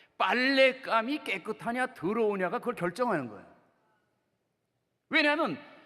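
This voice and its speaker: This man speaks with an extremely high pitch and a slight Chungcheong accent, his voice raised and projected. His tone is animated, his intonation lively and his pace moderate. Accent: slight Chungcheong dialect picked up. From Seoul, South Korea. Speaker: pastor. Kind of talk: sermon.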